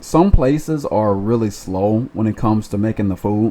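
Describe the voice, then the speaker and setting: A man's dark, mellow voice shows ordinary pitch variation. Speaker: food delivery driver. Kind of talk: casual talk to camera. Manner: stutters.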